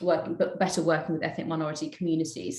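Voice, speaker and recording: A woman speaks with a London accent. Room echo can be heard. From London, England. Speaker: politician. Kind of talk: panel discussion. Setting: video call.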